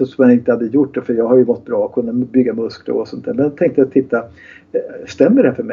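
This man has a plain, everyday voice, pitched at a medium level with ordinary pitch variation. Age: 60s. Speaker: kinesiologist and therapist. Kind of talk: interview.

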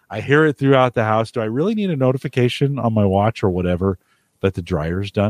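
A man with a Midwestern US accent talks at a very fast pace against a quiet background. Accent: US Midwest. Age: 50s. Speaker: podcast host. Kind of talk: casual chat. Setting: home studio.

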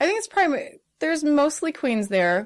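A woman with a Midwestern American accent speaks with lively intonation. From US Midwest (northern Indiana). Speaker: aerial artist and drag performer. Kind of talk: casual interview.

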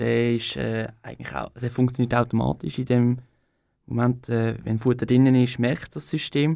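A man with an Aargau accent speaks at a medium pitch in a dark, mellow tone. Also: ordinary pitch variation, moderate pace. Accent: Swiss German (Aargau). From Switzerland, Aargau. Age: 20s. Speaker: young political candidate. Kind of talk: radio interview. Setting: radio studio. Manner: hesitant, many fillers.

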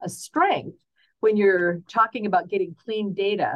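With an unremarkable speaking voice, a woman talks at a fairly quick pace and a medium pitch, using lively intonation. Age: 60s. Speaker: optometrist. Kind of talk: expert interview.

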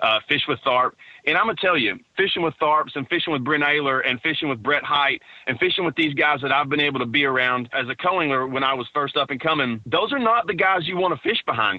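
In a Texan accent, the speaker races along at a very fast pace with lively intonation. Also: man, fairly high pitch for a man. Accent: Texan Southern US. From East Texas. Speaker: professional bass angler. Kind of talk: interview.

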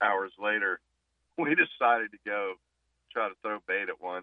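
At a moderate pace, a man speaks in a fairly low pitch with a normal speaking voice. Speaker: fishing guide. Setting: phone call.

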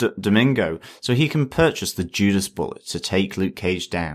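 A man's normal speaking voice, fairly low in pitch, with lively intonation over a very clean recording and a silent background. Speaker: podcast co-host. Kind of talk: casual chat.

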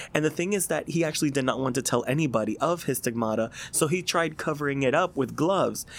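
A man speaks at a fairly quick pace in a normal speaking voice, fairly high in pitch, with ordinary pitch variation. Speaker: seminarian. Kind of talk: casual chat.

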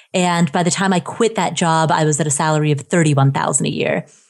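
On a very clean recording with a silent background, a woman talks very fast in a fairly low pitch. She has an American accent and fairly even intonation. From US Midwest, Ohio. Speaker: personal finance blogger. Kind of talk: casual interview.

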